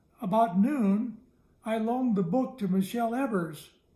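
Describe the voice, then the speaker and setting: Using a put-on character voice, a man speaks with a high pitch. His pace is moderate, and his pitch varies in an ordinary way. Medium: read story.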